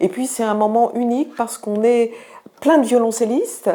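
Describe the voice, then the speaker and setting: A moderate pace with ordinary pitch variation. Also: woman. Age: 60s. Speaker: student cellist giving a testimonial. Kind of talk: testimony. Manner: hesitant with frequent fillers.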